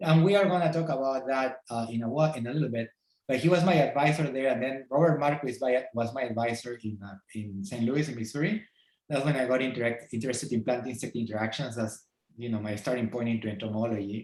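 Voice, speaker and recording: This man talks very fast with a Peruvian accent. His pitch is medium, with ordinary variation. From Peru, Lima. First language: Spanish. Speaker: entomology professor. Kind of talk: podcast interview. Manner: halting.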